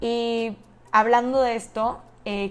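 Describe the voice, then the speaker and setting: A woman speaks at a very slow pace. Her intonation stays flat and monotone. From Mexico, Monterrey, Nuevo León. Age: young. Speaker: podcast host, university student. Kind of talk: solo podcast monologue.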